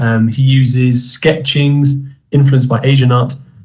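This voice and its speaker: Audible room echo surrounds a man's medium-pitched, somewhat breathy voice. He speaks with a British accent. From United Kingdom. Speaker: English teacher. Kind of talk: online conference talk. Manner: hesitant with fillers.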